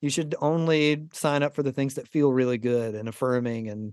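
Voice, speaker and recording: A man with an ordinary speaking voice and an American accent, medium-pitched, at a moderate pace with fairly even intonation. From US South, Southeast Georgia. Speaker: pastor and author. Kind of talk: casual interview.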